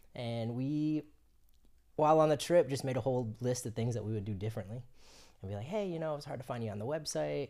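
On a very clean recording with a silent background, a man with an American accent talks very fast in a medium-pitched voice, dark and mellow in tone, with lively intonation. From Florida. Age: 30s. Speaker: film production crew member. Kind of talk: casual chat.

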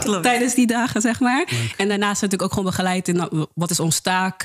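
A woman with a medium-pitched voice talks at a fairly quick pace with ordinary pitch variation as noticeable background noise plays. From Netherlands, Rotterdam-Zuid. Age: 20s. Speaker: peer educator. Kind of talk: casual interview.

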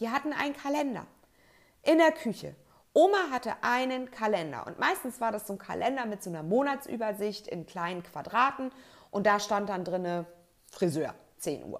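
At a moderate pace broken by long, frequent pauses, a woman with a fairly high pitch uses very wide pitch swings and big swings in loudness. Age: 30s. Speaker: podcast host, organization coach. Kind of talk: solo podcast monologue.

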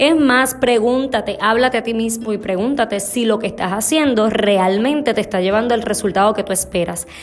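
A woman's fairly high voice, animated in tone, at a moderate pace with hardly any pauses and ordinary pitch variation, with music in the background. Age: 30s. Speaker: leadership educator and podcast host. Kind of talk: motivational talk.

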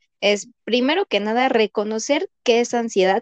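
A woman speaks at a fairly high pitch, recorded with a dry, close sound and no echo. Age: 30s. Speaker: veterinarian. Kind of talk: casual chat.

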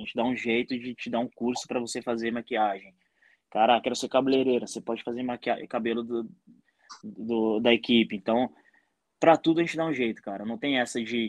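A man has a normal speaking voice, medium in pitch, with fairly even intonation. He talks at a fairly quick pace, and the sound is dry and close with no echo. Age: 30s. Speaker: entrepreneur. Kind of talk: casual chat.

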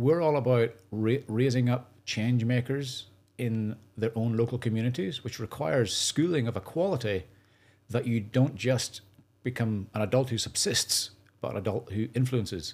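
A man's medium-pitched voice with a Northern Irish accent, moderate pace and ordinary pitch variation, in a very clean recording with a silent background. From Northern Ireland. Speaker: charity founder. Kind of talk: podcast interview.

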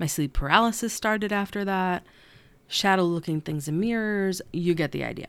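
Ordinary pitch variation within a natural reading voice

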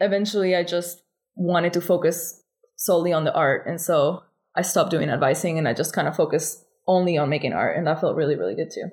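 Speaking fairly quickly with a Spanish accent, a woman uses a fairly low pitch and ordinary pitch variation. The recording is very clean, with a silent background. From Argentina. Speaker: artist. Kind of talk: interview.

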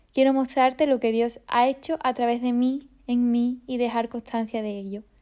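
Against a quiet background, a woman talks at a moderate pace. Her voice is high in pitch yet dark and mellow in tone. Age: 20s. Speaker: podcaster and violinist. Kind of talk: personal faith podcast monologue.

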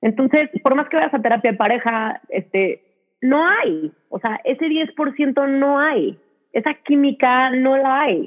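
With lively intonation, a woman talks very slowly in a high-pitched voice. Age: 30s. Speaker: Instagram content creator. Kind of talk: casual chat. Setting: video call.

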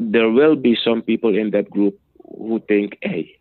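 The speaker is a man. His pitch is medium. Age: 40s. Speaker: army veteran and business owner. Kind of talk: interview. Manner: halting, with repetitions.

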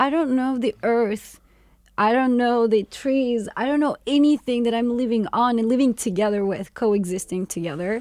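A woman at a fairly high pitch with ordinary pitch variation, speaking at a fairly slow pace with a Turkish accent. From Turkey, Istanbul. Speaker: co-founder of a waste-to-energy company. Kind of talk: casual interview.

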